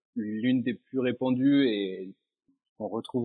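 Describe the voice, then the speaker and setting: Here a man speaks at a very slow pace. His medium-pitched voice keeps a fairly even intonation. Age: 30s. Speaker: training project manager. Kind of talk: interview.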